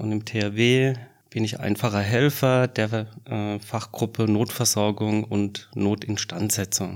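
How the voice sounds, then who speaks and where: A man with a fairly low pitch speaks very slowly in a flat monotone, recorded very cleanly against a silent background. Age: 40s. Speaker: disaster relief volunteer. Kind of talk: interview.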